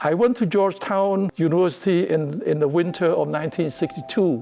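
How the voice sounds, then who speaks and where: At a moderate pace, a man speaks with pitch that varies in ordinary ways. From Cambodia. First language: Khmer. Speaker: immigrant elder sharing life story. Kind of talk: personal testimony.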